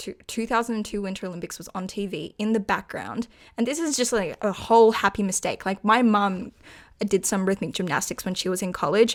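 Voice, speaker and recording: On a very clean recording with a silent background, a woman with an Australian accent and a medium pitch speaks at a fairly quick pace with ordinary pitch variation. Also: big swings in loudness. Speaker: podcast co-host. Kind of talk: casual chat.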